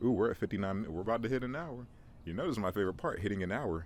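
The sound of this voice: A man with a fairly low voice talks at a very fast pace, his intonation lively.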